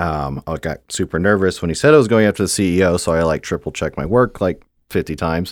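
A man with an American accent and a very deep, low pitch talks very fast with ordinary pitch variation, in a very clean recording with a silent background and a dry, close sound with no echo. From Houston, Texas. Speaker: growth product manager. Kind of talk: interview. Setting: studio.

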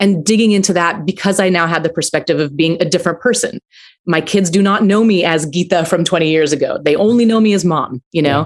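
Speaking at a very fast pace, a woman with an American accent has a fairly low pitch, ordinary pitch variation and very even loudness. The recording is very clean, with a silent background. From US, Aurora, Colorado. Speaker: film writer and director. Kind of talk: interview.

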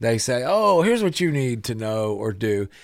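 A man of medium pitch at a moderate pace. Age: 40s. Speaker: radio host. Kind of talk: radio talk show interview. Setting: studio.

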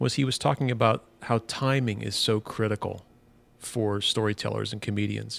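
Ordinary pitch variation in a fairly low male voice. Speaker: podcast co-host, designer and letterer. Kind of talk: casual chat between co-hosts. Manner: fast talker.

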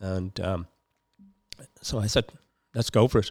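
A man with a Dublin accent talks at a fairly quick pace with fairly even intonation. The recording is very clean with a silent background and a dry, close sound with no echo. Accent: Dublin Irish. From Dublin, Ireland (Finglas). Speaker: community environmental campaigner. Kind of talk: casual interview. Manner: halting.

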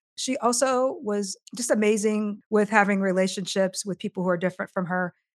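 A woman with a Midwestern US accent at a fairly quick pace, in a very clean recording with a silent background and a dry, close sound with no echo. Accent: US Midwest. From Iowa, US Midwest. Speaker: diversity consultant and author. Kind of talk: interview conversation.

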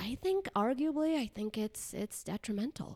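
With an ordinary speaking voice and lively intonation, a woman talks at a moderate pace in a very clean recording with a silent background and a dry, close sound with no echo. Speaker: psychologist. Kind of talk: casual chat.

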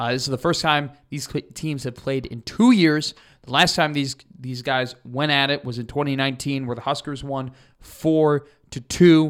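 Here is a plain, everyday voice from a man, fairly high in pitch, on a very clean recording with a silent background. He holds a moderate pace with fairly even intonation. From Chicago, US Midwest. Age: 20s. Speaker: student podcast host, sports. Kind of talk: casual sports podcast.

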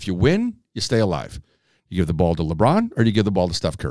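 Very deep and low in pitch, a man speaks with an American accent. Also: very clean recording, silent background. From Chicago. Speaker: podcast host. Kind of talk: casual chat.

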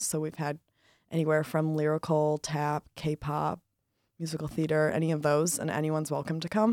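A woman speaks with an American accent and a very deep, low pitch. The recording is very clean, with a silent background and a dry, close sound with no echo. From Michigan. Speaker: college student, dance club member. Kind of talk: casual interview.

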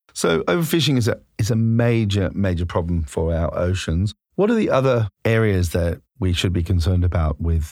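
The voice, in an Australian accent, keeps a very even loudness throughout. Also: man. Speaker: podcast host. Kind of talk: interview. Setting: studio.

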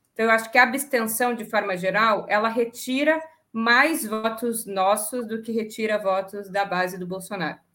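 At a moderate pace, a woman talks in a fairly high pitch with a bright, sharp tone and ordinary pitch variation. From southern Brazil, Rio Grande do Sul. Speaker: economist. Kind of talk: political panel discussion. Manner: hesitant, many fillers.

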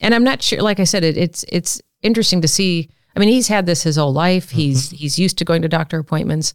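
Lively intonation marks a woman's fairly quick speech in an American accent. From US Midwest, Omaha, Nebraska. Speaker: artist and professor. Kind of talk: casual interview.

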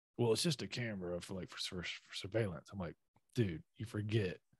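Somewhat breathy, a man speaks at a fairly low pitch in a dry, close recording with no echo. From US South. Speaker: army intelligence veteran. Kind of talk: casual chat.

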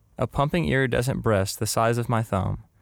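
A man with a normal speaking voice, medium in pitch, at a fairly quick pace, on a very clean recording with a silent background. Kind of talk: literary short story reading. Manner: intimate, first-person storytelling.

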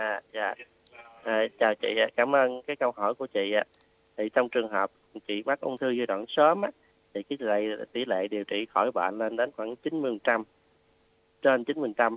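A man of medium pitch speaks at a fairly slow pace with ordinary pitch variation and long, frequent pauses. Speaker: oncology doctor. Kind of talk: expert health advice. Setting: radio studio. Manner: halting, many fillers.

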